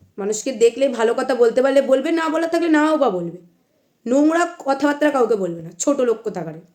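A woman's high-pitched voice swings very widely in pitch. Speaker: YouTuber. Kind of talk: angry vlog rant.

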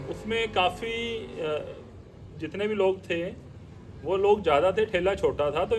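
A man's high-pitched voice. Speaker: interviewer. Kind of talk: interview questions.

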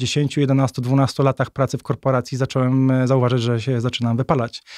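Over a quiet background, an ordinary speaking voice moves at a moderate pace in a dry, close sound with no echo. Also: man. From north-eastern Poland (Warmia-Masuria). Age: 30s. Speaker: author. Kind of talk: casual interview.

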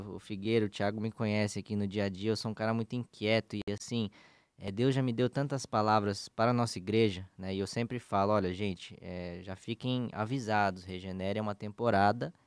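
An unremarkable speaking voice with ordinary pitch variation moves at a fairly quick pace with hardly any pauses, recorded with a dry sound, no echo, and a quiet background. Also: man. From São Paulo, Brazil. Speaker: podcast co-host, pastor. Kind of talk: casual religious discussion. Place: studio. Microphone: studio mic.

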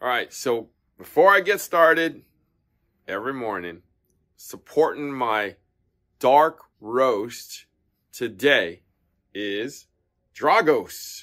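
Over a quiet background, a man with a bright, sharp tone talks at a very slow pace, leaving long, frequent pauses. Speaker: tennis shop owner reviewer. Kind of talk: casual product review vlog. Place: shop. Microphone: phone near.

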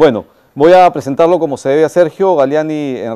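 Against a quiet background, a man with a dark, mellow tone speaks with ordinary pitch variation. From Peru. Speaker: event moderator. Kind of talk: moderated interview. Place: stage. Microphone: lapel.

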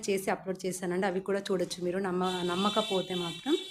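A female voice, very cleanly recorded against total silence. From Telangana. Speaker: ashram cook and new vlogger. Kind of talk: cooking vlog. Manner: polite, conversational.

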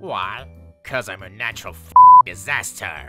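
Against background sound effects and faint music, a put-on character voice speaks at a low pitch.

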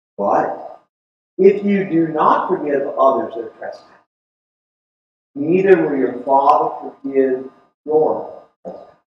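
A man talks at a fairly slow pace, leaving long, frequent pauses and making big swings in loudness. Light background noise and audible room echo are present. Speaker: preacher. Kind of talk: sermon delivered to a congregation. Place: church.

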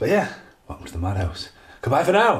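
A somewhat breathy voice speaks at a fairly quick pace. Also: man. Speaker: video game reviewer. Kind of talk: angry rant; casual rambling video review. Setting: home video recording. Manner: animated, swearing, exasperated; rambling, halting.

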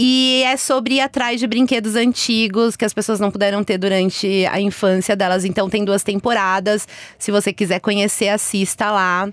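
An unremarkable speaking voice from a woman, moderate in pace with hardly any pauses, fairly even intonation and very even loudness, in a dry sound with no echo and a quiet background. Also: medium pitch for a woman. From Brazil, Minas Gerais. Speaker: YouTuber. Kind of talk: casual chat. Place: studio. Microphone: studio mic.

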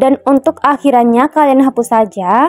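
Over music in the background, a woman talks at a high pitch with ordinary pitch variation, the sound dry and close with no echo. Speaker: voice-over narrator. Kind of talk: app tutorial voice-over. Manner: casual, friendly.

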